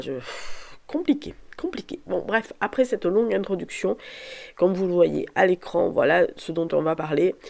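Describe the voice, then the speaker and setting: At a fairly slow pace, a woman speaks in a dark, mellow tone at medium pitch, in a very clean recording with a silent background. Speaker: booktuber and novelist. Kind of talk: casual vlog monologue. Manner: halting, many fillers and repetitions.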